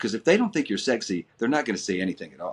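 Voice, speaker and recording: Lively intonation marks this man's medium-pitched voice. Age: 60s. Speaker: actor interviewed about a past web series. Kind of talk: casual interview.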